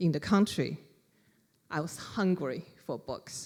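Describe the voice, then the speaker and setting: A woman's fairly low voice in a Chinese accent, very slow, with ordinary pitch variation. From China, Wuhan. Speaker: author. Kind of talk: library talk.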